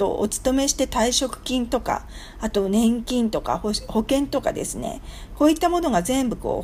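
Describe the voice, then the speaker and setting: Noticeable background noise runs beneath a woman speaking at a moderate pace and high pitch. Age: 50s. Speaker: business consultant. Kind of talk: radio lecture.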